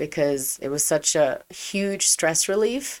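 With lively intonation, a woman speaks at a fairly slow pace. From Germany and England. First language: German. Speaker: pastry chef and actor. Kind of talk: solo podcast monologue.

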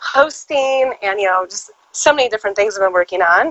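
In a Californian accent, a woman speaks with a bright, sharp tone, fairly high pitch, and lively intonation. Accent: Californian American. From Southern California. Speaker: actress and publicist. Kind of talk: casual interview.

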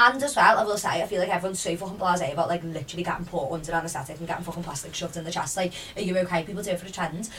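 At a medium pitch, a woman talks very quickly amid noticeable background noise. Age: 20s. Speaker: podcast host. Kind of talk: casual chat.

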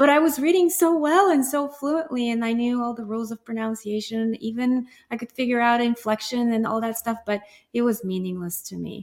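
Her voice high in pitch, a woman with a Bulgarian accent speaks at a fairly quick pace. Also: ordinary pitch variation. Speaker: guest co-host, piano teacher.

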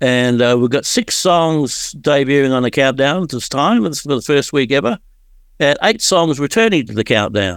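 Speaking with an Australian accent, a man uses a fairly high pitch and lively intonation on a very clean recording with a silent background. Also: moderate pace. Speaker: radio countdown host. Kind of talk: radio show presenting.

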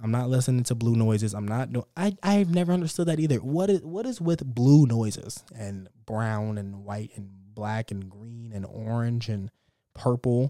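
With an American accent, a man talks at a medium pitch and moderate pace in a dark, mellow tone. His intonation is lively, with big swings in loudness. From Texas, Dallas. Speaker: podcast host. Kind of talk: casual monologue. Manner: animated.

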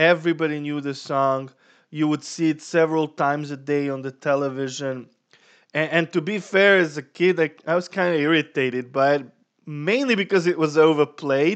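A man with a non-native accent talks at a moderate pace and a fairly high pitch. His intonation stays fairly even over a quiet background. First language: not English. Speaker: podcast co-host. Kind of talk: casual chat.

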